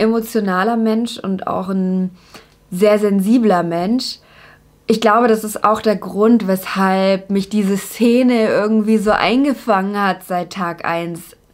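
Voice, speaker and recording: Very slowly, a woman talks at a medium pitch. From Germany, Upper Franconia (Bavaria). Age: 20s. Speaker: YouTuber, TV presenter. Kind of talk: casual to-camera introduction vlog. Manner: animated.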